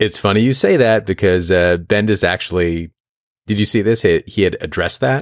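Fairly low in pitch, a man speaks in a normal speaking voice at a fairly quick pace. His pitch varies in an ordinary way, and his loudness is very even. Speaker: podcast host. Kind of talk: casual chat.

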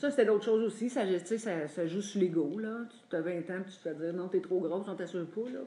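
A woman with a plain, everyday voice speaks at a medium pitch with ordinary pitch variation and big swings in loudness. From Quebec, Drummondville. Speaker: support group member sharing. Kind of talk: testimony.

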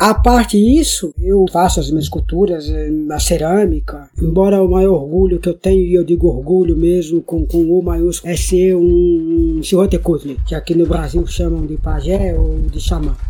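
Music plays behind the speaker. He is a man talking at a moderate pace. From Brazil, Ubatuba, São Paulo coast. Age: 50s. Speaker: writer and filmmaker. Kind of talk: interview.

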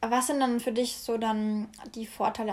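In a very clean recording with a silent background, a woman with a fairly high pitch speaks in a somewhat breathy, monotone, flat intonation. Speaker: podcast host, student. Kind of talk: casual chat.

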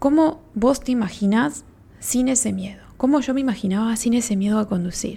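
With a Uruguayan accent, a woman talks at a moderate pace in a dark, mellow tone, her fairly high pitch moving with ordinary variation. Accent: Rioplatense Spanish (Uruguayan). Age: 30s. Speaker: podcast host, spiritual therapist. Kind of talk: casual solo podcast talk.

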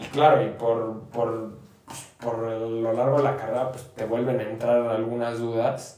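Over noticeable background noise and audible room echo, a man with a Mexican accent and medium pitch speaks at a fairly slow pace in monotone, flat intonation, with big swings in loudness. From Mexico, Querétaro. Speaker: law student. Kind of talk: casual chat. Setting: on location outside the studio. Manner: halting.

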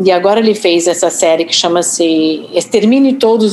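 A woman's fairly low voice in a Rio de Janeiro accent at a fairly slow pace, over noticeable background noise. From US Northeast. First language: English (speaking Portuguese). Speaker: journalist and author. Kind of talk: interview. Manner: hesitant, many fillers.

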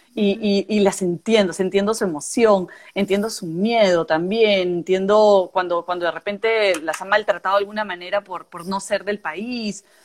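A normal speaking voice at a moderate pace, with big swings in loudness, fairly even intonation and hardly any pauses. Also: woman, medium pitch for a woman. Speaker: podcast co-host. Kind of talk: casual chat.

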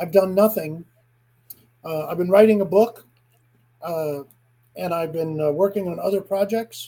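Here is a man with a high pitch and ordinary pitch variation. His tone is dark and mellow. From eastern Kentucky. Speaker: comedian. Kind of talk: casual chat.

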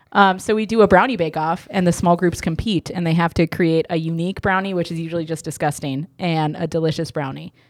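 This woman speaks with a normal speaking voice, fairly low in pitch and fairly even in intonation, on a very clean recording with a silent background. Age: 30s. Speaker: church podcast co-host. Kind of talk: casual chat.

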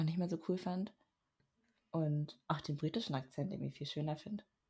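At a moderate pace, a woman speaks in a somewhat breathy voice with a very deep, low pitch. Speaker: podcast co-host, university student. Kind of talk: casual chat. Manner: reserved, says little.

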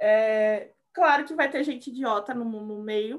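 A woman speaks in a high voice at a fairly slow pace. Her intonation is lively and her tone animated. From Brazil, Rio Grande do Sul, later years in Salvador. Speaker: software developer, former historian. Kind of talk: casual chat. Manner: animated, frequent laughter.

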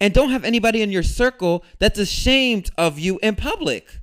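An American accent marks this man's high-pitched, animated voice. He speaks at a moderate pace on a very clean recording with a silent background. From US suburbs. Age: 20s. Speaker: podcast host. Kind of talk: solo monologue.

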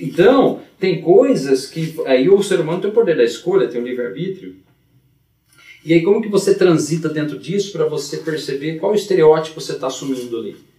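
At a fairly quick pace, a man talks in a fairly high pitch with an unremarkable speaking voice. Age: 40s. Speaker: teacher and blues harmonica player. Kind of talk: casual chat.

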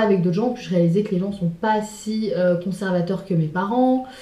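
Speaking at a fairly quick pace, a woman has a somewhat breathy, medium-pitched voice with ordinary pitch variation. There is audible room echo. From France, Sarthe (Le Mans). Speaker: interview guest. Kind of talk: casual chat.

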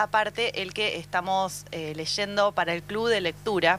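A woman with a bright, sharp tone, at a fairly slow pace with ordinary pitch variation. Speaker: radio host. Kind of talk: casual chat.

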